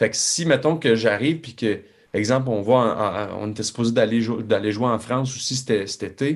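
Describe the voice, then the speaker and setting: Here a man speaks at a moderate pace and medium pitch, with ordinary pitch variation. The recording is very clean, with a silent background. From Quebec. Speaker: country singer. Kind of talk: casual chat. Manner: halting.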